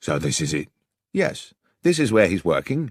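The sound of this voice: A man uses a put-on character voice, gruff and fairly low, with very wide pitch swings. He keeps a moderate pace, and the sound is dry and close with no echo.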